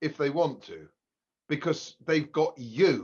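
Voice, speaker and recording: A man in an English accent talks at a fairly slow pace. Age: 70s. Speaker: economist. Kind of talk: podcast interview. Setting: at home. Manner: halting.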